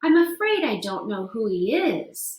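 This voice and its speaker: A woman's put-on character voice, fairly high in pitch with very wide pitch swings. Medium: read story.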